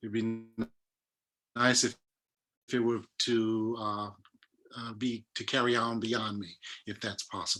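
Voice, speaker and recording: A man with an American accent at medium pitch, monotone and flat, fairly slow with long, frequent pauses, music in the background. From US South, Nashville, Tennessee. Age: 60s. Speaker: theatre artistic director. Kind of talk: interview. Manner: halting.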